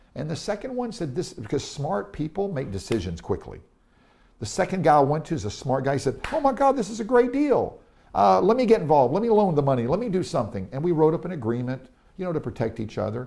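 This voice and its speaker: A man's fairly high-pitched, dark, mellow voice with vocal fry, very wide pitch swings and a very fast pace. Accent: American. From Tennessee, US South. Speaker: real estate investor and speaker. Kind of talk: interview. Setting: in Israel. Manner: animated.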